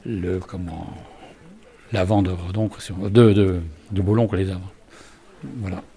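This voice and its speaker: Very deep and low, a man's voice moves at a fairly slow pace in a flat monotone. Noticeable background noise runs underneath. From Brittany, France (Ille-et-Vilaine). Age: 70s. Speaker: local historian, retiree. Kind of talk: casual chat, guided walking tour.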